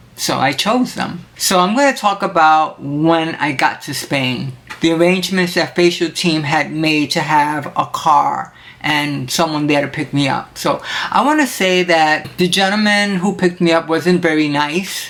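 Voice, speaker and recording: A woman speaks at a fairly slow pace with a fairly low pitch. Her pitch variation is ordinary, and there is noticeable background noise. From Puerto Rico. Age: 60s. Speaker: cooking show host. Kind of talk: personal testimony. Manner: casual.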